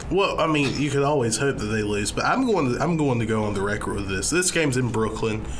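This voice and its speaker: Over noticeable background noise, a man with a Southern US accent talks very fast at a medium pitch, his intonation lively. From US South. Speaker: college sports podcast co-host. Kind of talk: casual chat. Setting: studio. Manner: tired, dragging.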